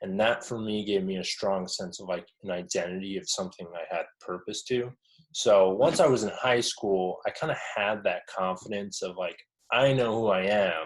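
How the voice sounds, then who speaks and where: Speaking with an American accent, a man keeps a moderate pace. His pitch is fairly low, with ordinary variation. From Arizona (Mesa, Phoenix area). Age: 20s. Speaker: professional touring drummer. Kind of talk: interview. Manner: casual, with many fillers (um, uh, like).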